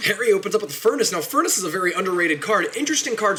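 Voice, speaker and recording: A man's raised, projected voice, high-pitched and animated, with lively intonation at a very fast pace amid noticeable background noise. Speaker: game streamer and tournament caster. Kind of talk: live game commentary. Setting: home studio apartment, live stream.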